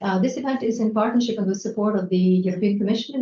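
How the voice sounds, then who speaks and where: In a somewhat breathy, dark and mellow tone, a woman speaks at a medium pitch with fairly even intonation. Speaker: moderator and chairperson of cultural house. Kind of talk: panel discussion moderation.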